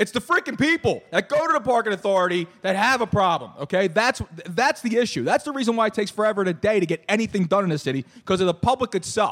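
A man with a Philadelphia accent and a high pitch, lively intonation, a very fast pace with hardly any pauses, and a dry, close sound with no echo. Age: 40s. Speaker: podcast host. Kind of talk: casual chat. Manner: animated.

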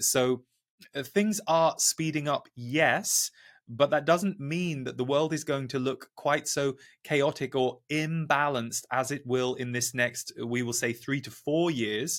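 A man with a fairly high pitch has an unremarkable speaking voice. His pitch varies an ordinary amount. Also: fairly slow pace. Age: 40s. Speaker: spiritual teacher and channeler. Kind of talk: channeled message; interview conversation. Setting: video call.

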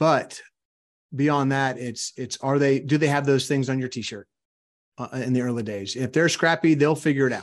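Against a quiet background, a man with a Louisiana accent speaks at a moderate pace, his fairly high pitch held in fairly even intonation. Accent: Southern US (Louisiana). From US South, South Louisiana. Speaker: entrepreneur and author. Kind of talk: interview.

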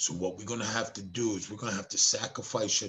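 Fairly quick and fairly low-pitched, a man talks in an ordinary speaking voice. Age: 50s. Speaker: mindset coach. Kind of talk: interview with storytelling.

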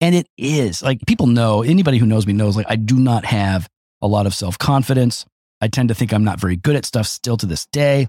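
A man's plain, everyday voice at a medium pitch with ordinary pitch variation, fairly quick pace, and a dry, close sound with no echo. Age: 50s. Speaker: pastor. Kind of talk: casual chat.

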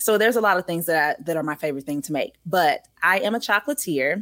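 A woman's voice carries a bright, sharp tone. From Louisiana. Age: 20s. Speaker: actress and podcast host. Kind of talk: interview conversation. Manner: animated.

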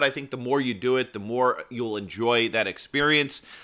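Music plays in the background. Over it, a man speaks in an energetic tone. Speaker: podcast host; satellite radio show co-host. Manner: casual, energetic.

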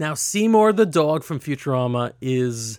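In an unremarkable speaking voice, a man talks at a fairly slow pace with lively intonation. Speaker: podcast host. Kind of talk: casual chat. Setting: home studio.

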